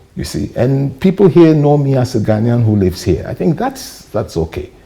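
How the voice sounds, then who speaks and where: A man talks at a moderate pace with very wide pitch swings. Noticeable background noise runs underneath. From Ghana. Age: 60s. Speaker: journalist and media trainer. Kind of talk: interview.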